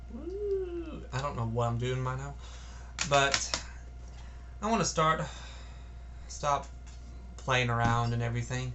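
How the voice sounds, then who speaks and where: A man talks at a fairly slow pace, with long, frequent pauses. Noticeable background noise and audible room echo are present. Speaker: music reviewer. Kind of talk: casual album review vlog. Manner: halting, stuttering.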